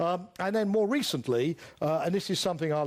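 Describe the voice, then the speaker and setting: Lively intonation in a British accent at a fairly quick pace, on a very clean recording with a silent background. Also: man. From United Kingdom. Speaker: lecturer on international security. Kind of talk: lecture. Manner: halting, many filler words.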